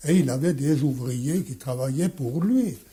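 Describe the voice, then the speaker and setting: A somewhat breathy, dark, mellow tone at a very slow pace with ordinary pitch variation. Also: man. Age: 80s+. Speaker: watchmaker. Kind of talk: interview answer.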